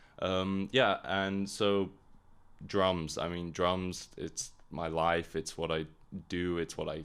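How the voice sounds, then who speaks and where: In a very clean recording with a silent background, a man speaks in a very deep, low pitch with monotone, flat intonation. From Hong Kong, international upbringing. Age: 20s. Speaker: drummer and podcast host. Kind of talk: casual monologue podcast. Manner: casual, frequent filler words.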